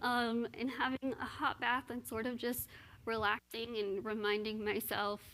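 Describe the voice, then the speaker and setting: Using a plain, everyday voice, a woman with a fairly high pitch talks at a fairly slow pace with ordinary pitch variation. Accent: American. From Texas (Austin). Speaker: motivational speaker. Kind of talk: interview on stage.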